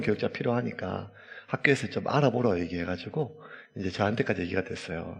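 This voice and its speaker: A man at a very fast pace, with very wide pitch swings. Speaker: pastor. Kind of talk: sermon.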